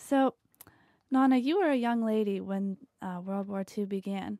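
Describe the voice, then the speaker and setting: A woman of medium pitch and dark, mellow tone with ordinary pitch variation, dry and close with no echo, on a very clean recording over a silent background. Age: 20s. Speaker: interviewer.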